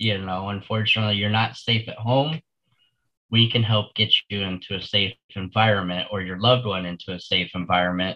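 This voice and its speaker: A man with an American accent talks at a fairly quick pace in a normal speaking voice, his intonation fairly even. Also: fairly low pitch for a man. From Florida. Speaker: senior living advisor. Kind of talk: casual interview.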